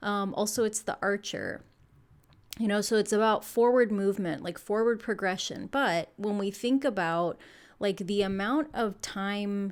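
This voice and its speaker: Over a very clean recording with a silent background, a woman speaks at medium pitch. Her pace is fairly slow. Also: ordinary pitch variation. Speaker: tarot reader. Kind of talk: tarot reading video.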